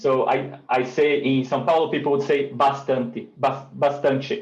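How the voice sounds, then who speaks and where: A man's somewhat breathy voice at a fairly slow pace, fairly even in intonation and very even in loudness. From Northeast Brazil. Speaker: native speaker guest. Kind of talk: casual language lesson chat.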